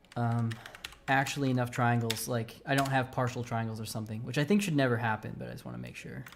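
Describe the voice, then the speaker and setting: Against noticeable background noise, a man at medium pitch speaks very fast with fairly even intonation. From United States. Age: 20s. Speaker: game developer. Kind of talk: live coding stream. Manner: halting.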